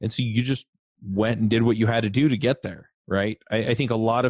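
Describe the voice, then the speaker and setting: An ordinary speaking voice from a man, fairly low in pitch, with fairly even intonation at a moderate pace. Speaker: podcast host. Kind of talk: casual interview.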